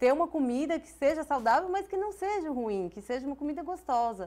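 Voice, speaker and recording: A woman with a high pitch, very wide pitch swings and a moderate pace. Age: 30s. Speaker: business owner; guest. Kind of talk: interview. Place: studio. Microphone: lapel.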